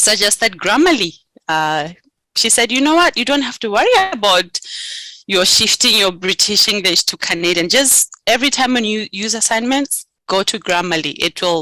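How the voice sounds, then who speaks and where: A woman's bright, sharp voice in a Botswana accent, with lively intonation, a moderate pace and a dry, close sound with no echo. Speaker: graduate student. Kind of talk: interview. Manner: hesitant, many fillers.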